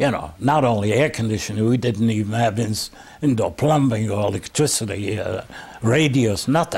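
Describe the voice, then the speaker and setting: A somewhat breathy man at medium pitch, moderate pace and ordinary pitch variation. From Bessarabia (Eastern Europe). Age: 80s+. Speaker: Holocaust survivor. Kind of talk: testimony interview. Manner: halting.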